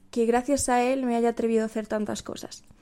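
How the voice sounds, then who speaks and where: On a very clean recording with a silent background, a woman speaks at a fairly high pitch in a dark, mellow tone that stays monotone and flat. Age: 20s. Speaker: university student and podcaster. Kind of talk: casual monologue. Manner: stumbling over words.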